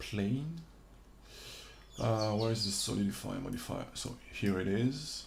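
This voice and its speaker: The man speaks with a non-native accent at a fairly slow pace and a fairly low pitch. Audible room echo surrounds his voice. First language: not English. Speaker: 3D modeling instructor / streamer. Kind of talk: livestream tutorial. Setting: livestream from home. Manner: halting. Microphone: reverb issues with streaming audio.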